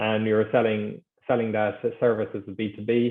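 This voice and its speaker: Here a man speaks with an Irish accent. His intonation is monotone and flat. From Ireland. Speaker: sports betting executive. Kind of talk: podcast interview.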